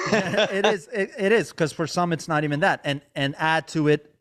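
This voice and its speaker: Recorded very cleanly with a silent background, a man talks with a plain, everyday voice. His pace is moderate, with ordinary pitch variation, in a dry, close sound with no echo. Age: 30s. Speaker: podcast host and comedian; music teacher. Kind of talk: casual chat.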